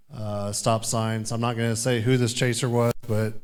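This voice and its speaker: A man with a Midwestern US accent at medium pitch, moderate pace and fairly even intonation, with audible room echo. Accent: US Midwest. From Kansas, Topeka. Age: 30s. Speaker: sheriff's deputy and storm chaser. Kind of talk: conference presentation.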